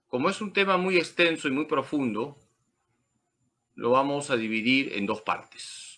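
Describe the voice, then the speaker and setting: In a bright, sharp tone, a man speaks at a fairly slow pace with lively intonation against a quiet background. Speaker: priest teaching a course. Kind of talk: lecture. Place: home room. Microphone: webcam.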